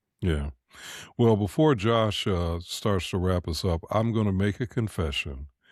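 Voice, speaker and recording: A man's plain, everyday voice, fairly low in pitch, with lively intonation at a fairly slow pace on a very clean recording with a silent background. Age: 60s. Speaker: podcast co-host. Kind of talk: interview.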